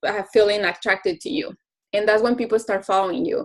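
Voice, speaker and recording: With a non-native accent, the speaker uses ordinary pitch variation. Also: woman. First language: Spanish. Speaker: fitness coach. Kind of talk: testimony. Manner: halting.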